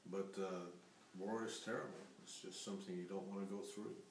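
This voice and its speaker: There is audible room echo as a man talks at a moderate pace in a fairly low pitch. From Mexico. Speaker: grandfather interviewed about family history. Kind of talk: family history interview. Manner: halting.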